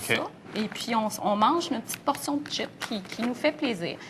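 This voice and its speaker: With a Quebec accent, a woman talks at a moderate pace in a fairly high voice. Her intonation is lively, and background noise is noticeable. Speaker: nutrition expert. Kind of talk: TV morning show interview.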